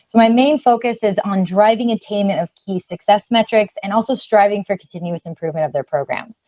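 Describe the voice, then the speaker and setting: In a Californian accent, the speaker goes at a fairly quick pace with hardly any pauses. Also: woman, medium pitch for a woman, ordinary pitch variation. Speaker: customer success manager. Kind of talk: webinar presentation.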